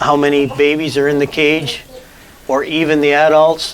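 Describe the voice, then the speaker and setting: A man speaks in a monotone with flat intonation. Noticeable background noise runs under his voice. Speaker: rabbit breeder, farmer. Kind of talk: interview answer on farm tour.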